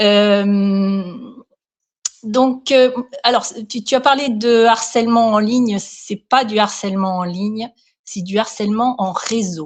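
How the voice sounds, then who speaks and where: Speech comes at a very slow pace with long, frequent pauses and fairly even intonation. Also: woman, fairly high pitch for a woman. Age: 60s. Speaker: care assistant sharing her story. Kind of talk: interview testimony. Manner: hesitant, many fillers.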